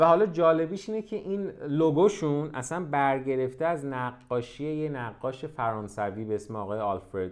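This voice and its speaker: At a moderate pace, a man speaks at a fairly high pitch with very wide pitch swings and hardly any pauses. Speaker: fashion business podcast host. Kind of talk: solo podcast monologue. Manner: casual, unscripted.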